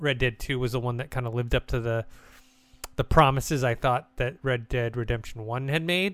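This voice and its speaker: At a moderate pace, a man with an unremarkable speaking voice talks at medium pitch with fairly even intonation. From United States. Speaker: gaming podcast host. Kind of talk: casual chat.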